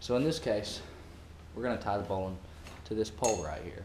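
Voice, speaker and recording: A man speaks with ordinary pitch variation, and the room's echo is audible. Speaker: parasailing worker. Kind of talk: tutorial. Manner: casual.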